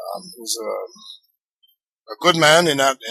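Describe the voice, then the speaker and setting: Music plays behind a man as he talks. The sound is dry and close, with no echo. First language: French. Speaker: retired pro wrestler. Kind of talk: interview.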